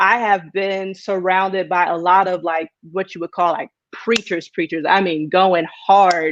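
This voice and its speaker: Speaking with a slight country accent, a woman talks at a fairly slow pace with fairly even intonation, in a dry, close sound with no echo. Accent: slight country twang. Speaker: preacher. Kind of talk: live video interview.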